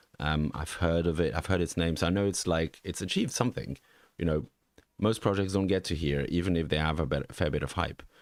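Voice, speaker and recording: A man with a slight Swiss French accent talks at a fairly quick pace in a very deep, low voice. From French-speaking Switzerland. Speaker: NFT market analyst. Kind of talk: live stream market review. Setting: live stream from home. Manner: halting, many fillers.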